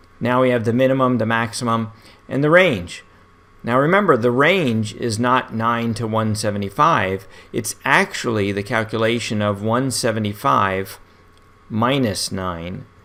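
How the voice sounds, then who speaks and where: A man talks at a fairly slow pace with a medium pitch and ordinary pitch variation. It is an ordinary speaking voice. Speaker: statistics instructor. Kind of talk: tutorial.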